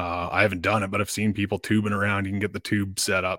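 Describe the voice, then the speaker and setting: The speaker has a Canadian accent and monotone, flat intonation. The recording is very clean, with a silent background and a dry, close sound with no echo. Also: man. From Canada, northwestern Ontario. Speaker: podcast host and tournament angler. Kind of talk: casual interview chat.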